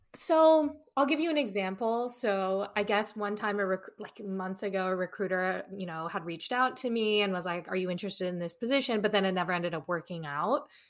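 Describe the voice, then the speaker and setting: Lively in intonation, the speech runs at a fairly quick pace. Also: woman, medium pitch for a woman. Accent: Californian. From Los Angeles. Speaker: entertainment lawyer. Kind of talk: casual interview.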